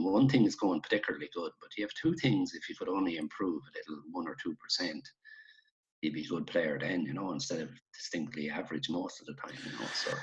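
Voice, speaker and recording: This man speaks with an Irish midlands accent. His pace is fairly quick. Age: 60s. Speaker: retired Gaelic football player. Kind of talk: casual interview chat.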